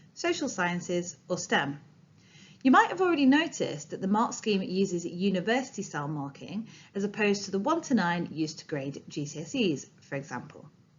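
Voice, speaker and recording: Somewhat breathy and at a fairly quick pace, the voice carries a Yorkshire accent with very wide pitch swings. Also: woman. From Yorkshire, northern England. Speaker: training presenter, former English teacher. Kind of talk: recorded training presentation. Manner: clear, formal.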